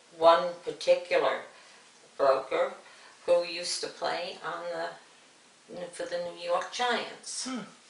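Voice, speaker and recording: Amid noticeable background noise, a woman speaks at a very slow pace with long, frequent pauses and big swings in loudness. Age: old. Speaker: retired bank back-office clerk. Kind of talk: interview answer.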